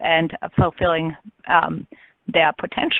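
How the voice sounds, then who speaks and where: This woman has a fairly low pitch and an Austrian accent. She talks at a moderate pace. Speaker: business consultant. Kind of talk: webinar presentation.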